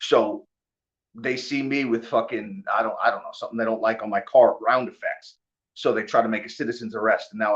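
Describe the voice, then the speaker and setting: Talking at a very fast pace, a man speaks in a New York accent. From New York (Long Island). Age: 40s. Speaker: bare knuckle fighter. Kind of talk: casual chat. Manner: animated.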